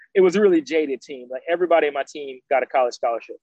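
Someone with an American accent talks at a very fast pace. The sound is dry and close, with no echo. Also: man. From US South, Georgia (Decatur, Atlanta). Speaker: orthopedic surgeon. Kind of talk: interview.

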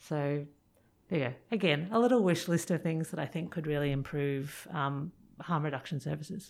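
Speaking with an Australian accent, a woman uses a very deep, low pitch with ordinary pitch variation. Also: very clean recording, silent background. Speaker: pharmacist and addiction researcher. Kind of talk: interview. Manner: fast.

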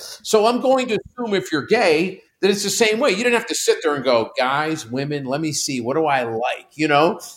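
In an American accent, a man speaks at a fairly high pitch. His pitch swings very widely. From Pittsburgh, US. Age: 60s. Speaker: company CEO. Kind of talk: casual chat.

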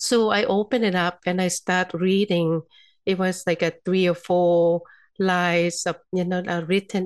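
Over a quiet background, a woman with a Thai accent speaks fairly slowly at a fairly low pitch in a monotone, flat intonation, the sound dry and close with no echo. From Thailand. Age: 50s. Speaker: physician and energy healer. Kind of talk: interview.

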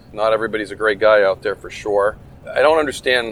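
Noticeable background noise sits behind a man talking at a very fast pace. His pitch is medium and his intonation fairly even. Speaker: retired game warden, podcast host. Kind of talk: casual interview conversation.

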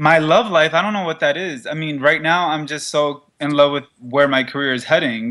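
Speaking at a moderate pace, the man has a plain, everyday voice pitched fairly high. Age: 20s. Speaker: fashion model. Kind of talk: casual interview. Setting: studio.

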